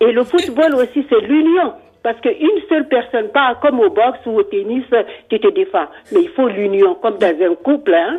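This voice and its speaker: A woman's high voice at a moderate pace, with very wide pitch swings and very even loudness. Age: 60s. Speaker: radio caller, football fan. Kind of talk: casual chat.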